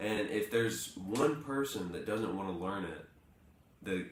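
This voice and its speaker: A man's fairly low, lively-intoned voice, with noticeable background noise and audible room echo. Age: 20s. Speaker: morning show co-host. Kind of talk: casual chat.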